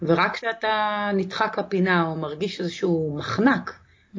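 A woman in an unremarkable speaking voice talks at medium pitch and a moderate pace. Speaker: author. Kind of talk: interview.

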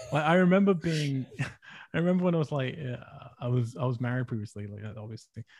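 Somewhat breathy, a man with a medium pitch rattles along at a very fast pace with lively intonation. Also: big swings in loudness. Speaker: film writer and director. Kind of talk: casual interview conversation.

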